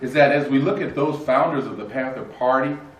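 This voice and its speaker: A man with an American accent, amid noticeable background noise and audible room echo. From northern California, Oakland. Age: 60s. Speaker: panel moderator. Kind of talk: panel discussion remarks. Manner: halting, many fillers.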